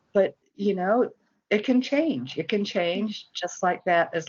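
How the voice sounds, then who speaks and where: A woman with a plain, everyday voice speaks at a fairly slow pace. Her intonation is lively. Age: 60s. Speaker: recovering alcoholic sharing her story. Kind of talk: interview testimony.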